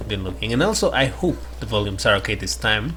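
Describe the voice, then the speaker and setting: A man's voice with music in the background and audible room echo. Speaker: gaming youtuber. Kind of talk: gameplay commentary. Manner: quiet, keeping voice down; halting.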